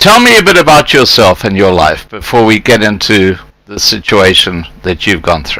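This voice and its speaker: Lively intonation from a plain, everyday voice at a moderate speed. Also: man, fairly low pitch for a man. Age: 60s. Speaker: live stream host. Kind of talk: live interview.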